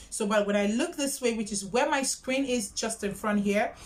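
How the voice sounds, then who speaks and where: A woman speaks with a fairly high pitch. Background noise is noticeable. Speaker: YouTuber. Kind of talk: tutorial. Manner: loud, projecting.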